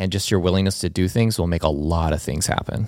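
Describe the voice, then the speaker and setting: Talking at a fairly quick pace, a man with a very deep, low pitch and ordinary pitch variation comes through on a very clean recording with a silent background. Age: 40s. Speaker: produce farmer and farm advocate. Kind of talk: casual chat. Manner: animated.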